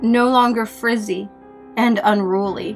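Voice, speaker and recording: The voice carries ordinary pitch variation. Music plays in the background. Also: woman. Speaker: horror story narrator. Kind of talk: horror story narration.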